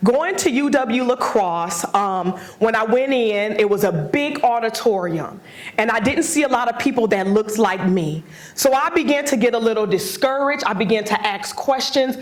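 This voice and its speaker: A woman's fairly high voice with an American accent and very even loudness, amid audible room echo and noticeable background noise. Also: lively intonation, moderate pace. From Wisconsin (Milwaukee). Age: 40s. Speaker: motivational speaker. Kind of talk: lecture.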